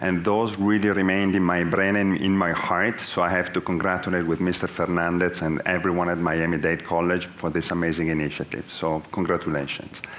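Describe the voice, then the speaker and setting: In a very deep, low pitch, a man speaks in a monotone, flat intonation with very even loudness and hardly any pauses, over noticeable background noise and audible room echo. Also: fairly quick pace. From Italy. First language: Italian. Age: 40s. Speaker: business executive. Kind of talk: onstage interview.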